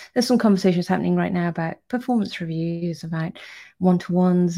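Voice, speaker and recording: A woman with a British accent speaks very fast in a fairly low, dark, mellow voice on a very clean recording with a silent background. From UK. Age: 30s. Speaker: startup CEO. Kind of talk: casual video update.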